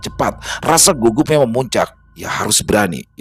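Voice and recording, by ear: This voice is reading aloud in a natural voice.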